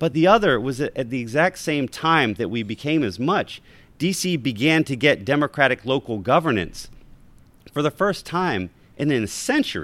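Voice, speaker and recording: This man's fairly high voice carries vocal fry and swings very widely in pitch at a moderate pace, recorded very cleanly against a silent background. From Baltimore. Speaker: history professor and author. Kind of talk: live talk with audience.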